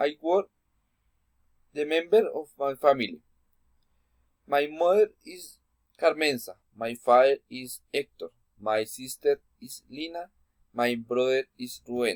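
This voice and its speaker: A man with a Spanish accent, fairly high-pitched, at a very slow pace with ordinary pitch variation, in a dry, close sound with no echo. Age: 20s. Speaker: student. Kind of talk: class presentation. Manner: halting.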